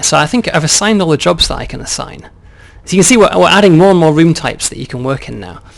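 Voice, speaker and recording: A man speaks at a very fast pace, his loudness swinging widely. There is noticeable noise in the background. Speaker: game developer. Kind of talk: game walkthrough demo.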